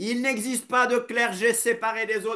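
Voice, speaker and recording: A man's extremely high, bright and sharp voice, raised and projected, at a fairly slow pace. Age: 60s. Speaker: preacher. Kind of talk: sermon.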